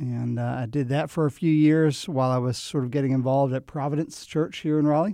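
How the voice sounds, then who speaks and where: A man with an American accent talks at a fairly quick pace with hardly any pauses. His voice is fairly high in pitch with a dark, mellow tone and fairly even intonation. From New Jersey. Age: 40s. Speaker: pastor. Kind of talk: interview conversation.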